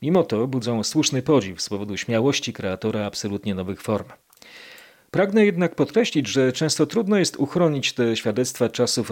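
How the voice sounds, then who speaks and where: This man has a plain, everyday voice at a medium pitch, speaking at a moderate pace with lively intonation. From Poland, Kraków (Nowa Huta). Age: 50s. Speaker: podcast host. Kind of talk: scripted narration.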